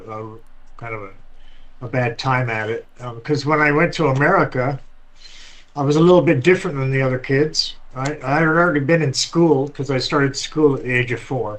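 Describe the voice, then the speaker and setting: A man at a medium pitch, moderate pace and ordinary pitch variation. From Scotland, moved to US as child. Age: 60s. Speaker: interview guest. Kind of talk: casual interview, life story. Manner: frequent fillers and hesitations.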